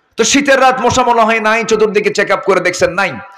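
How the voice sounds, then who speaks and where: A man's high-pitched, raised and projected voice with ordinary pitch variation. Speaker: Islamic preacher (waz speaker). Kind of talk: Islamic sermon (waz mahfil) delivered live to an audience.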